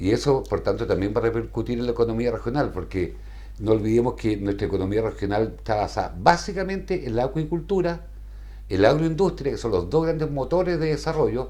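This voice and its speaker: Echo from the room is clearly audible around a man's voice. He speaks fairly quickly. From southern Chile. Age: 60s. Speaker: executive director of a polling organization. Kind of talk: TV interview.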